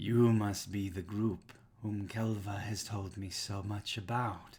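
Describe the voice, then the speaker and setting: A husky, put-on character voice from a man, fairly low in pitch, monotone and flat, at a fairly slow pace. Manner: booming, commanding.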